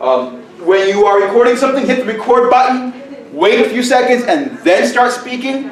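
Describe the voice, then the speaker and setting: Shouting at an extremely high pitch for a man, he speaks at a moderate pace with fairly even intonation, amid audible room echo and noticeable background noise. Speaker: teacher and conference presenter. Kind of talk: conference presentation. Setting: conference room with audience, echoey. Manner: loud, near shouting. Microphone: far from camera mic, room echo.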